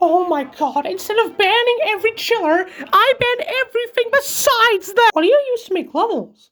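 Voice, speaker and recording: A put-on character voice at an extremely high pitch moves at a moderate pace. It runs on with hardly any pauses. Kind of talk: comedic meme dub. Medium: dub.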